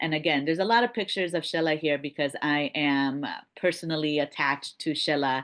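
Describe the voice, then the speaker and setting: Over a quiet background, a woman with a very deep, low pitch speaks at a moderate pace with ordinary pitch variation. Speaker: faculty program leader. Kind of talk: information session presentation. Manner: hesitant, many fillers.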